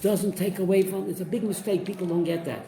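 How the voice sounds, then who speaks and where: An animated man with a high pitch and ordinary pitch variation speaks amid audible room echo. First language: Yiddish. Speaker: rabbi teaching a Torah class. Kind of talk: Torah class with student interjections.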